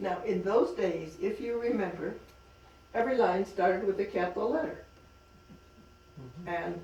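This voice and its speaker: Against noticeable background noise, a woman speaks at a medium pitch with ordinary pitch variation and long, frequent pauses. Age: 80s+. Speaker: author. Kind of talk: talk at a library reading.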